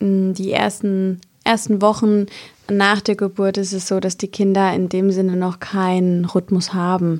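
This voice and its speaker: At a fairly slow pace, a woman speaks at a medium pitch with flat, monotone intonation. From Palatinate, southwest Germany. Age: 20s. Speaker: midwife. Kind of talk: expert interview.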